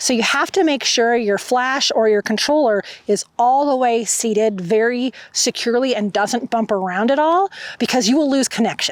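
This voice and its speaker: A woman's high-pitched voice with very even loudness. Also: ordinary pitch variation, moderate pace. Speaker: photographer and camera reviewer. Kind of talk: gear review vlog. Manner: casual with fillers.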